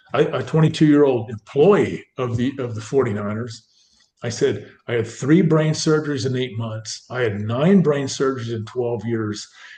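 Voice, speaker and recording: A man with an American accent has a somewhat breathy, dark, mellow tone at a medium pitch with ordinary pitch variation. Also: moderate pace. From Northern California. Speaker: former pro football player. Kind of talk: interview storytelling. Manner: animated.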